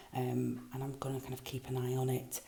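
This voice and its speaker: A woman's very deep, low voice with noticeable background noise. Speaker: craft vlogger. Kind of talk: casual vlog. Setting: at a kitchen sink. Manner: hesitant, many ums.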